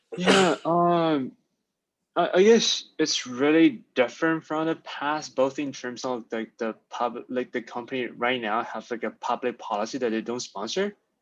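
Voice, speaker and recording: Against a quiet background, a man with a non-native accent speaks at a fairly slow pace in a fairly high pitch with lively intonation. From outside the US, international student. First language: not English. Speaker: finance student, coaching client. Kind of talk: interview. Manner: hesitant, many fillers.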